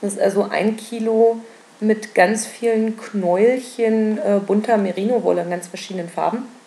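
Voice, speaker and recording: At a moderate pace, a woman uses a normal speaking voice with a fairly high pitch and fairly even intonation. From Berlin. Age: 20s. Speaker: knitting and spinning podcaster. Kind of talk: casual solo podcast monologue. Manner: many filler sounds (ähm, äh).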